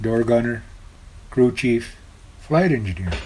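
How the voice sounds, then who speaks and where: Amid noticeable background noise, a man with an American accent speaks at a medium pitch. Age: 70s. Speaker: war veteran. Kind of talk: oral history interview. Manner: halting.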